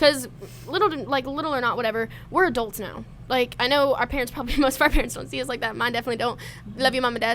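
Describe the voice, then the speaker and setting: Loud and very fast, a woman speaks at a high pitch with ordinary pitch variation. Music plays in the background. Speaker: college student, podcast guest. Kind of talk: casual chat.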